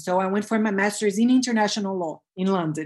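A woman with a Portuguese accent, medium pitch, fairly even intonation and a fairly quick pace, against a quiet background. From Brazil. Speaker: self-love coach, former corporate lawyer. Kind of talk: interview, personal story. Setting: video call.

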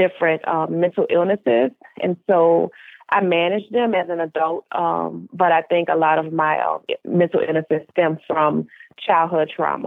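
Speaking with an American accent at a moderate pace, a woman has an unremarkable speaking voice with fairly low pitch. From US South, New Orleans, Louisiana. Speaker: mental health advocate and author. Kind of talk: personal testimony in interview.

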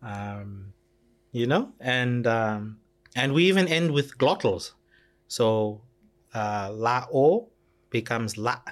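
Speaking at a very slow pace, the man uses ordinary pitch variation. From Fiji (Rotuma). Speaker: freelance translator. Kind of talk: casual chat. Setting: studio.

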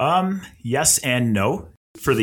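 A man speaks with a Canadian accent. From Nova Scotia, Canada. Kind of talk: casual chat.

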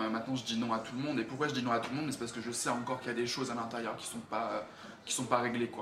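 This man's intonation stays fairly even, with audible room echo and noticeable background noise around him. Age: 20s. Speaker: actor and model. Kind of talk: personal testimony interview. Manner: halting, many fillers.

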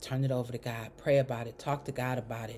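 A woman's voice, warm in tone and dark and mellow. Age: 50s. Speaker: faith podcast host. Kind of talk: inspirational monologue. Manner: warm, conversational.

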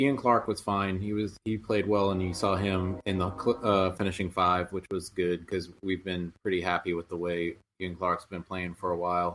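A man talks in a very deep, low pitch with a monotone, flat intonation at a moderate pace. The recording is very clean, with a silent background. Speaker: sports blogger.

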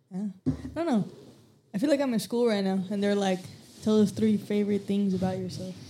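A woman talks at a fairly quick pace in a medium pitch. Her voice is somewhat breathy, with ordinary pitch variation. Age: 20s. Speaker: detailing employee. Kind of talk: casual chat. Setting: studio.

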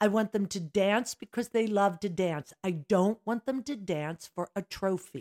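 A woman with an American accent talks at a fairly slow pace in a plain, everyday voice, with hardly any pauses. Her medium pitch shows ordinary pitch variation, and the sound is dry and close with no echo. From Philadelphia area, Pennsylvania. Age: 60s. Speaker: dance studio owner. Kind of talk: casual chat.

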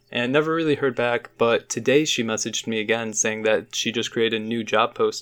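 A man with an American accent speaks at a medium pitch and a fairly quick pace, his intonation fairly even and hardly any pauses, on a very clean recording with a silent background. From Chicago suburbs, US Midwest. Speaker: podcast co-host, art student. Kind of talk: casual chat.

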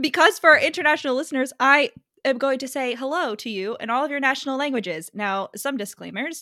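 A woman's high, bright, sharp voice, raised and projected, very fast and animated, with lively intonation and big swings in loudness. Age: 20s. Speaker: podcast host. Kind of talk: casual chat.

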